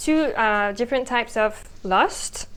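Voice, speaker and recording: A woman talks with a slight French accent. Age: young. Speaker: podcast co-host. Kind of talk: casual conversation. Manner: hesitant, many fillers.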